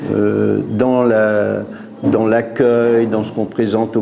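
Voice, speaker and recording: A man with a fairly low pitch speaks very slowly in a monotone, flat way, amid noticeable background noise and audible room echo. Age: 60s. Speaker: restaurant owner. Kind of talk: interview. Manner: halting, with repetitions.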